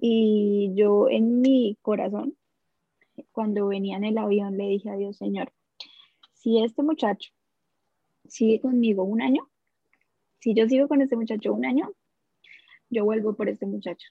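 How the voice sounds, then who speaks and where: Taking long, frequent pauses, a woman speaks fairly slowly at a fairly high pitch with ordinary pitch variation. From Colombia, Bogotá area (Soacha). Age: 20s. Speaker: podcast guest, young mother. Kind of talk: casual interview, personal testimony.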